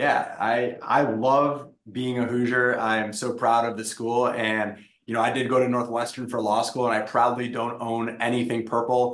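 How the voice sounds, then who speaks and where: A man speaks with an American accent in a monotone, flat delivery. Audible room echo surrounds the voice. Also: medium pitch for a man, moderate pace. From Wisconsin. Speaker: tech startup founder. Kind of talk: interview.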